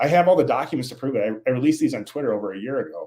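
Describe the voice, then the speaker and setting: Talking at a very fast pace, a man with a Minnesotan accent has a dark, mellow tone. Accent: Minnesota. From Minnesota, US Upper Midwest. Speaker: scientist, author. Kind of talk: interview. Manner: halting, many repetitions and fillers.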